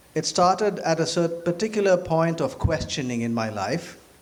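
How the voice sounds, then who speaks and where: Noticeable background noise sits behind the speaker. He is a man with a fairly high pitch who talks at a fairly slow pace. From India. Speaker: physician and lecturer. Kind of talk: public lecture.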